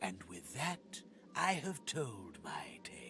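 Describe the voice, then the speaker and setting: Over clear background noise, a man performs a put-on character voice at a very slow pace. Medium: video game. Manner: reverent, formal.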